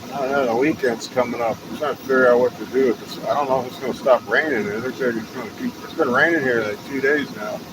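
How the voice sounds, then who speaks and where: A man with a slight Texas accent talks at a very fast pace in a medium pitch, his intonation fairly even but his loudness swinging widely, over noticeable background noise. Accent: slight Texas twang. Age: 50s. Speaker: live streamer. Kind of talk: casual live stream chat. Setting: outdoors, walking. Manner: rambling, halting.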